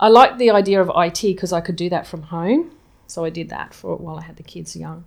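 A woman's fairly low voice with an Australian accent, vocal fry, ordinary pitch variation and big swings in loudness. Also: fairly quick pace. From Townsville, Queensland, Australia. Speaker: cafe owner, flood survivor. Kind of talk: interview, personal story.

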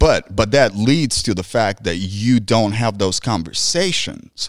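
The speaker is a man with a medium pitch. He talks at a fairly slow pace with lively intonation. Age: 30s. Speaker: podcast co-host, Marine veteran. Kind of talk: casual chat. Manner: animated.

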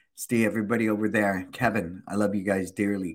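A man with a fairly low pitch at a moderate pace, on a very clean recording with a silent background. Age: 60s. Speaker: small business coach and podcast host. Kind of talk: live-streamed casual chat. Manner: animated.

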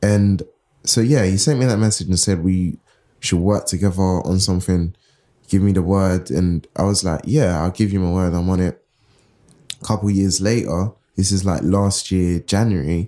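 In a London accent, a man speaks with a very deep, low pitch and a dark, mellow tone. His loudness stays very even, his intonation fairly even and his pace moderate. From Southeast London. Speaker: writer and editor. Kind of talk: interview. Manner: casual, stream of consciousness.

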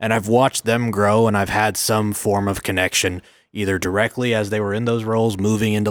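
Very clean recording, silent background. A man with an American accent and fairly low pitch talks fairly quickly in a flat monotone. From Oklahoma City, US. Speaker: mortgage lender executive. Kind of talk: casual interview.

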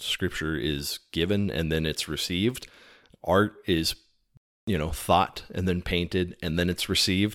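A man's very deep, low voice with an American accent, in a very clean recording with a silent background. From Texas. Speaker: podcast guest, Latter-day Saint. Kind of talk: casual conversation on religious symbolism.

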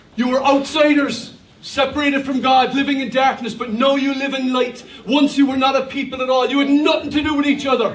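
Amid noticeable background noise, a man with an extremely high pitch speaks at a fairly quick pace in an animated tone. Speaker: pastor. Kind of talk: sermon; preacher call-and-response. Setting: church with congregation. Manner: animated, with a rousing, exhorting delivery and crowd prompts; humorous, joking asides.

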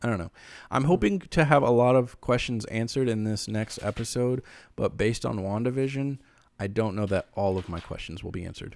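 An unremarkable speaking voice belongs to this man, who talks at a fairly quick pace and medium pitch with ordinary pitch variation in a very clean recording with a silent background. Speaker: podcast co-host. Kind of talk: casual chat.

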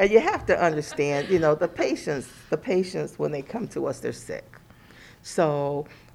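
At a moderate pace, this speaker talks with an American accent. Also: woman. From Cleveland, Ohio. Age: 60s. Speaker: psychiatric nurse. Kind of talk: interview. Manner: halting.

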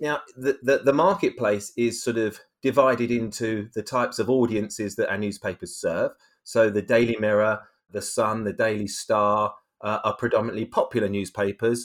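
A man with a British accent talks at a moderate pace. His pitch is medium and his intonation fairly even. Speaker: media executive, head of branded content studio. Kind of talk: interview. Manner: hesitant, many fillers and repetitions.

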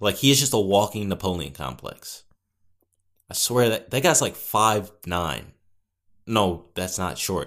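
A booming, fairly low-pitched man with an American accent, lively intonation and a fairly slow pace, on a very clean recording with a silent background. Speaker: podcaster. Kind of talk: casual solo chat. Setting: home recording with mic. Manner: casual, rambling, filler words.

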